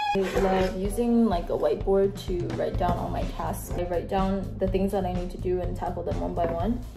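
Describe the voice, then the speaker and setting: A woman's voice with clear music in the background. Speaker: orthodontics resident. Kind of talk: casual vlog talk to camera. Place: home room. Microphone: phone near.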